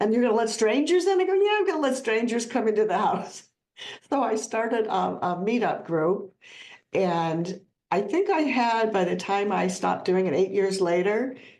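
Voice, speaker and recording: A woman with a Midwestern US accent, fairly high-pitched, with lively intonation, very even loudness, a moderate pace and audible room echo. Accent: US Midwest. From Ohio. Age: 70s. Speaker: plant-based educator and author. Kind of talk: podcast interview.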